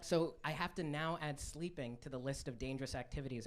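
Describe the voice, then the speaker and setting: Audible room echo follows a man speaking at a fairly quick pace with ordinary pitch variation. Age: 20s. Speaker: stand-up comedian. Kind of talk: stand-up. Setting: stage with audience.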